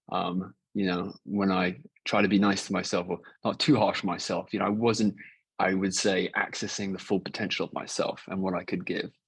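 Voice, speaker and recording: With fairly even intonation, the man talks in a fairly low pitch. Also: moderate pace. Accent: English. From England. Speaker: cancer survivor. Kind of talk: podcast interview.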